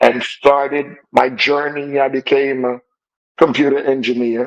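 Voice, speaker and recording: Speaking with a Jamaican accent, this man has a fairly high pitch. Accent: Jamaican, still noticeable. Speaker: computer engineer sharing life story. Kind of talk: interview testimony.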